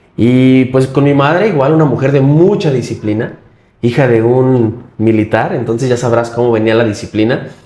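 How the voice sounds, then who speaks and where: A man speaks in a medium pitch with a dark, mellow tone, ordinary pitch variation, and very even loudness. His pace is moderate, and there is audible room echo. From Mexico, Michoacán. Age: 30s. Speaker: politician and wheelchair user. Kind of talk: interview.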